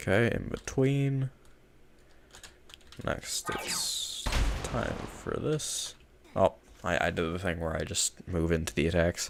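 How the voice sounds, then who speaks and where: Over noticeable background noise, the speech moves very slowly with long, frequent pauses and very wide pitch swings. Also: man, very deep, low pitch for a man. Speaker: gaming streamer. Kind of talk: gameplay commentary. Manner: casual, self-deprecating. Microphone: nice mic.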